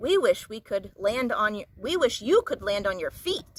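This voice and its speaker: A woman's put-on character voice, fairly high, with very wide pitch swings, big shifts in loudness and a moderate pace. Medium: read story.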